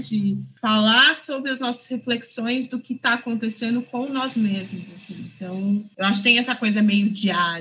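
Against noticeable background noise, a woman talks at a moderate pace with a fairly high pitch and lively intonation. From São Paulo, East Zone. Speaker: film director. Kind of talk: interview.

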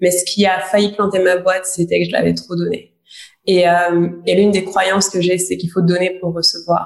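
A woman at medium pitch and a moderate pace, her intonation monotone and flat. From Guadeloupe. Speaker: podcast co-host, coach. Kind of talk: casual chat.

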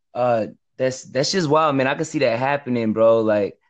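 Speaking at a moderate pace with ordinary pitch variation, a plain, everyday voice with an American accent comes through against a quiet background. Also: man. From Texas. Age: 20s. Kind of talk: casual chat.

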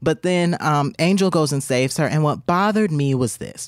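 Recorded very cleanly against a silent background, with a dry, close sound and no echo, a man talks at a fairly quick pace in an ordinary speaking voice. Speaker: podcast co-host. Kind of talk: casual banter podcast chat. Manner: nervous, joking.

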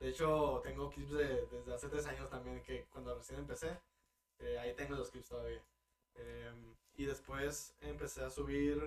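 The man speaks at a moderate pace. He leaves long, frequent pauses. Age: 20s. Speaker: streamer and systems engineer. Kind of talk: casual chat.

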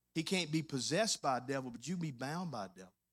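A man with a Louisiana accent speaks at a fairly quick pace with a fairly high pitch and lively intonation, in a very clean recording with a silent background. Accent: US Southern (Louisiana). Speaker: pastor. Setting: church service with congregation. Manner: conversational asides and humor, coaxing amens from the crowd; fervent, rhythmic preaching cadence with rising emphasis and punchy repeated phrases.

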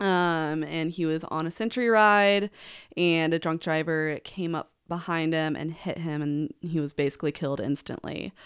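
This speaker with a Midwestern US accent talks at a moderate pace with ordinary pitch variation. The recording is very clean, the background silent. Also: woman, fairly low pitch for a woman. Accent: US Midwest. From Nebraska. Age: 20s. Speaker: podcast co-host and event outreach coordinator. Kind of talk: casual interview.

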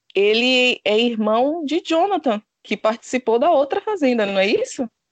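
The voice moves very slowly through very wide pitch swings, recorded with a dry, close sound and no echo. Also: woman. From Bahia, Brazil. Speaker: reality TV commentator. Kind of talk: casual chat.

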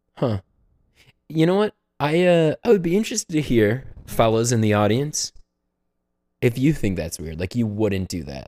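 A man's dark, mellow voice sits at medium pitch with very wide pitch swings, moving at a moderate pace with long, frequent pauses, the sound dry and close with no echo. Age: 20s. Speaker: podcast co-host. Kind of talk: casual chat.

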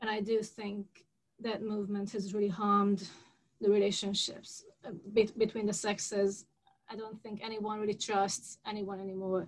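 A woman with a Hungarian accent speaks at a moderate pace in a medium pitch, somewhat breathy. Her intonation is monotone and flat, while her loudness swings widely. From Hungary. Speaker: podcast host. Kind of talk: interview.

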